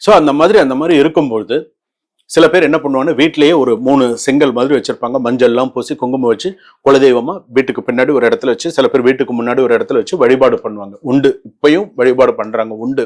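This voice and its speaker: A man talks in a normal speaking voice at a medium pitch with ordinary pitch variation. The background is quiet. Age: 50s. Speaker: astrologer and spiritual advisor. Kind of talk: devotional talk to viewers.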